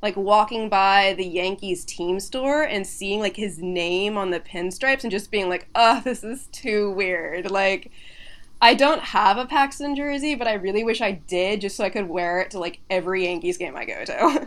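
Against a silent background in a very clean recording, a woman with an American accent uses an ordinary speaking voice, medium in pitch, at a moderate pace with lively intonation. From Washington State, Seattle area. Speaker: culture critic. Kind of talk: casual chat. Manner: casual, filler-heavy speech.

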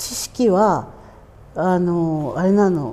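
A woman speaks in a dark, mellow tone. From Hokkaido (Urakawa, Hidaka). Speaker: Ainu cultural practitioner. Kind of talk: interview. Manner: casual, relaxed with laughter.

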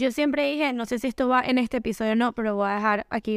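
A woman speaks fairly quickly at a fairly high pitch with ordinary pitch variation, in a plain, everyday voice. The sound is dry and close with no echo, on a very clean recording with a silent background. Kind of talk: casual chat.

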